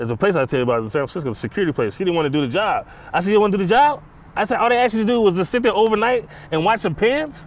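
A man with an American accent talks at a very fast pace in a high pitch, swinging very widely up and down. The recording is dry with no echo. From Los Angeles, California. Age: 40s. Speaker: former prisoner, author. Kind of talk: casual interview. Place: stadium.

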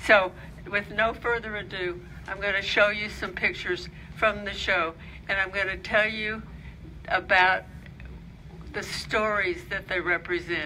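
A woman talks in a monotone with flat intonation and long, frequent pauses, with audible echo from the room. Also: medium pitch for a woman. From Alabama, Birmingham. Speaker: author and photography historian. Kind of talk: lecture. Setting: library lecture with audience.

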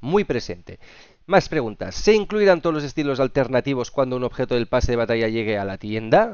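In a Castilian accent, a man speaks at a very fast pace with an animated tone. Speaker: gaming youtuber. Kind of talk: video commentary.

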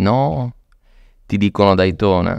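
Against a quiet background, a man with a fairly low voice speaks at a fairly slow pace, the sound dry with no echo. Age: 40s. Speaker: luxury watch dealer; podcast guest. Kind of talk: casual interview. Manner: animated. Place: studio. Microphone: studio mic.

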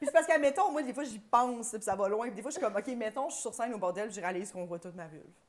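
A woman with a Quebec accent talks at a very fast pace in a fairly high voice. Her intonation is lively, and her loudness swings widely. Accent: Québécois French. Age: 30s. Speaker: podcast co-host, comedian; podcast guest. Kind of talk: casual chat. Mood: animated, joking storytelling. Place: studio. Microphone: lapel.

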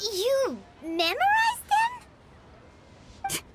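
A woman performs a put-on character voice at an extremely high pitch. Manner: surprised.

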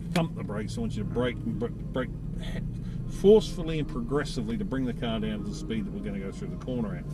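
A man talking at a very fast pace, dry sound without echo, noticeable noise in the background. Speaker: driving instructor. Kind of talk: briefing instructions. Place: car. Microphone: camera far.

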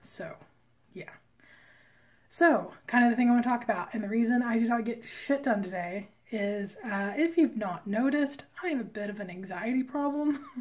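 A woman with a normal speaking voice talks at a moderate pace and a fairly high pitch. Her intonation is lively, and her loudness swings widely. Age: 30s. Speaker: comic artist vlogger. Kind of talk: casual vlog talk to camera.

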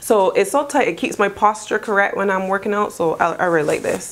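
Light background noise sits under speech whose pitch varies in an ordinary way. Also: woman. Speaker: lifestyle vlogger. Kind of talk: casual vlog chat. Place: home room. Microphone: lapel.

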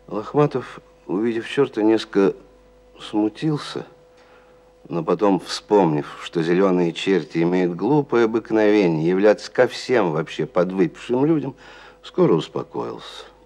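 A man talks at a fairly slow pace and fairly low pitch, leaving long, frequent pauses. His pitch swings very widely. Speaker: actor reading a story. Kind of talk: literary narration reading. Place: studio.

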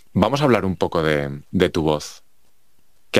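With lively intonation and a fairly quick pace, a man speaks on a very clean recording with a silent background. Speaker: podcast host. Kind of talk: interview.

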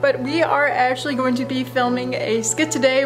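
Faint music plays in the background behind a woman's voice. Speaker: cosplay vlogger. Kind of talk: casual vlog chat. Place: home room. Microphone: phone near.

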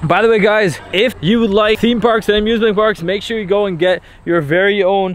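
With fairly even intonation, a man talks in a high pitch, the sound dry with no echo. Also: fairly quick pace. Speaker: vlogger. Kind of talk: casual vlog chat. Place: open country. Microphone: phone near.

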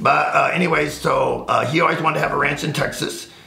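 A man speaks at a fairly quick pace. There is audible room echo. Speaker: firearms instructor. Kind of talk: casual interview. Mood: wry, relaxed. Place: home room.

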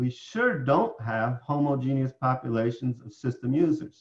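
A man speaks with an American accent in a somewhat breathy voice. The background is quiet. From upstate New York. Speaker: professor; professor presenting tutorial. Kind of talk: lecture. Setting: online conference presentation. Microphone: webcam.

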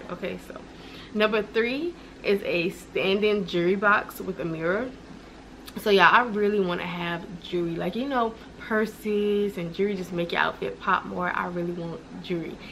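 A woman with a medium pitch talks at a moderate pace with ordinary pitch variation over light background noise. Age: 20s. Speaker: lifestyle vlogger. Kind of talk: casual vlog. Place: home room. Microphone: camera far.

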